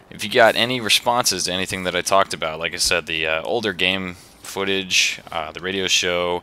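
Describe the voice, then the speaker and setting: A man with a very deep, low pitch speaks at a fairly quick pace while noticeable background noise carries on. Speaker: gaming video creator. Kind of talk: casual vlog commentary. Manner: casual, rambling with fillers.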